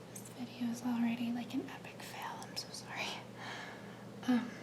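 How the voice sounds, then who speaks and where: A woman whispers in a gentle tone. Noticeable background noise runs behind her. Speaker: ASMR creator. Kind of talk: ASMR soft-spoken show-and-tell. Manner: soft-spoken, slow, gentle.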